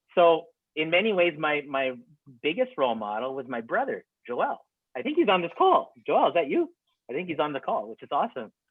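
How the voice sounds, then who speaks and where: A man talks in a fairly high pitch. His pitch swings very widely. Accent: Saskatchewan. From Regina, Saskatchewan, Canada. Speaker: documentary filmmaker. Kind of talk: webinar Q&A answer. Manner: hesitant, many fillers.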